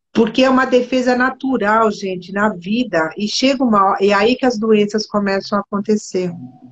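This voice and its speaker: A woman speaks at a moderate pace with hardly any pauses. Her voice is fairly high, somewhat breathy, with ordinary pitch variation. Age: 60s. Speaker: body therapist. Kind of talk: casual chat. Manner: animated.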